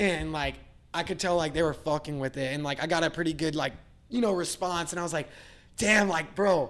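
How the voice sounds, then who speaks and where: A man with an American accent, fairly high in pitch, at a fairly quick pace, with ordinary pitch variation. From Virginia, US. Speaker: musician and skateboarder. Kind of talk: casual interview chat. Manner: casual, filler-heavy.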